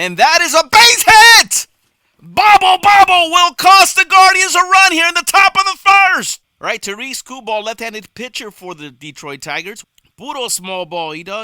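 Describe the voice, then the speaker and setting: A man projects his voice at an extremely high pitch with very wide pitch swings, a bright, sharp tone and a moderate pace, in a dry, close sound with no echo. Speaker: baseball play-by-play announcer. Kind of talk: baseball play-by-play broadcast demo reel.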